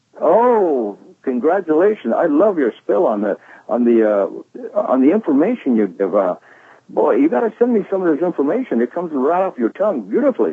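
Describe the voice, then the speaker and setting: Talking at a fairly quick pace, a man with a high-pitched voice swings his pitch very widely. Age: 70s. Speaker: network marketing distributor giving testimony. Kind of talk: testimony. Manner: halting, many fillers.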